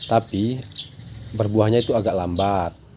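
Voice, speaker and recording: A man speaks at a moderate pace with fairly low pitch and fairly even intonation. Noticeable background noise runs under the recording. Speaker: chili grower, farming vlogger. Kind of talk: tutorial. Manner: casual.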